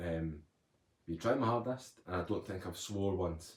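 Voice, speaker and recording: The voice is somewhat breathy. It moves at a moderate pace. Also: man. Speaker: motivational speaker, recovered addict. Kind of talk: live stream chat. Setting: live stream at home.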